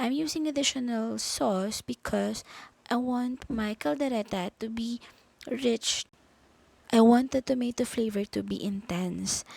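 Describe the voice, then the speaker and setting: At a fairly slow pace, a woman speaks in a Filipino accent with a fairly high pitch and ordinary pitch variation, the recording very clean, dry and close with no echo against a silent background. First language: Tagalog. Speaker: home cook. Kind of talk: cooking tutorial.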